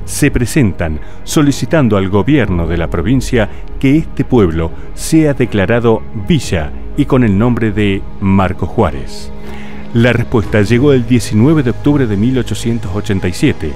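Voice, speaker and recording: A man with a fairly low pitch, very wide pitch swings and a fairly slow pace over music in the background. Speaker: professional event announcer. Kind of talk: documentary narration.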